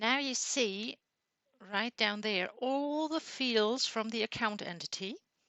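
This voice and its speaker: A non-native accent with ordinary pitch variation. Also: woman. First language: not English. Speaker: software tutorial creator. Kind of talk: tutorial.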